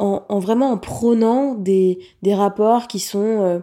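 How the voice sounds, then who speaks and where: With a dark, mellow tone, a woman talks at a medium pitch and keeps her intonation fairly even. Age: 30s. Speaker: life coach and podcast host. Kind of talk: solo reflective monologue. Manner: hesitant, many fillers.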